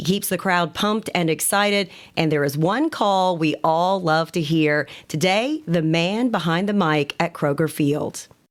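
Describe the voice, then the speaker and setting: The recording is very clean, with a silent background. A woman speaks in an unremarkable speaking voice, fairly low in pitch with ordinary pitch variation. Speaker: podcast host. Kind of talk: podcast intro.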